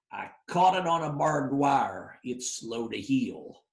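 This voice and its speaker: In a put-on character voice, a man sounds gravelly at a fairly high pitch, speaking at a fairly slow pace with lively intonation. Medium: read story. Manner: cryptic, commanding.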